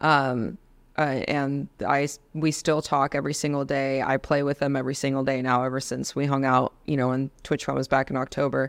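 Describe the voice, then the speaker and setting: A woman with an American accent and a very deep, low pitch, in monotone, flat intonation at a moderate pace, on a very clean recording with a silent background. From Los Angeles, California. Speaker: Navy veteran and gaming streamer. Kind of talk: casual interview chat.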